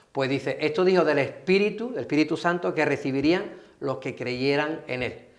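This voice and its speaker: A man with an Andalusian accent talks at a fairly quick pace and a fairly high pitch, with ordinary pitch variation. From Andalusia, Spain. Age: 60s. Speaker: pastor. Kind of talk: TV interview.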